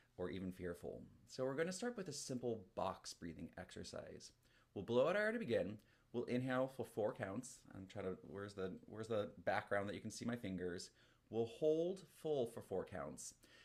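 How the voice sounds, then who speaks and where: Pitch swings very widely as a man speaks in a medium register. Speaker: flute teacher. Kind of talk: group music class with guided breathing. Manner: fast; energetic.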